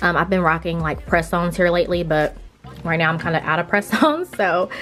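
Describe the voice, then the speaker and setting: Noticeable background noise runs under this recording. A woman talks at a fairly quick pace in a fairly low pitch. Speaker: beauty vlogger. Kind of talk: casual tutorial-style tour. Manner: fast; animated.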